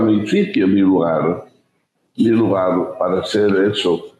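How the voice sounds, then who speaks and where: This is a man speaking. His pace is very slow. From Spain, Ávila. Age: 80s+. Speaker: writer, sociologist, former priest. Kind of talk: interview answer.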